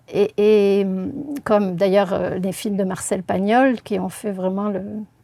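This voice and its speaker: Over noticeable background noise, a woman speaks very slowly at a medium pitch in a monotone, flat intonation. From southern France, Marseille region. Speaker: linguist. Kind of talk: interview. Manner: hesitant, many filler sounds.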